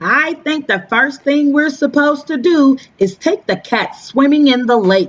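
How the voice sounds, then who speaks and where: A female-sounding voice uses a put-on character voice at a high pitch. The pace is moderate. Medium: read story.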